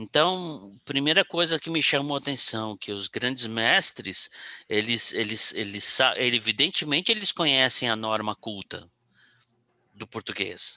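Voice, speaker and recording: A man's medium-pitched voice with a bright, sharp tone, lively intonation and big swings in loudness at a fairly slow pace, dry and close with no echo. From São Paulo, Brazil. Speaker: podcast co-host, psychologist. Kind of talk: casual chat, personal life story. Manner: halting, many repetitions and fillers.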